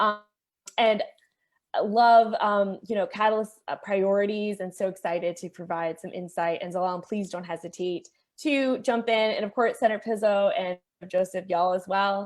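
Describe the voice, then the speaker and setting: Medium-pitched female speech, a normal speaking voice with ordinary pitch variation, at a moderate pace. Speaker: policy advocate. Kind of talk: panel presentation.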